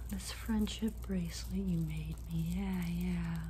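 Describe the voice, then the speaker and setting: Light background noise sits under the recording. A soft-spoken woman is talking. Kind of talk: acted monologue to camera. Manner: soft, hushed ASMR roleplay voice. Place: home room. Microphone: phone near.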